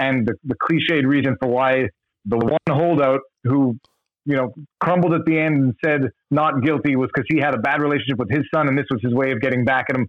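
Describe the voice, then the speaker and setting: A man with a plain, everyday voice speaks at a fairly quick pace and medium pitch, with ordinary pitch variation and very even loudness. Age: 40s. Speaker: YouTuber who makes videos about law. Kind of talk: casual chat.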